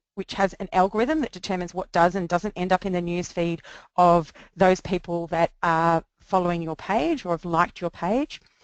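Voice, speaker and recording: A woman with fairly even intonation, in a dry, close sound with no echo and a quiet background. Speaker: social media marketing educator. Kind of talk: webinar presentation. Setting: online webinar. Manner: fast.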